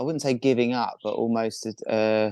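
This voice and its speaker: At a moderate pace and with fairly even intonation, the speaker uses a southern English accent, the sound dry and close with no echo over a quiet background. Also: man. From southern England, near Brighton. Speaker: professional kiteboarder. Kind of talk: interview.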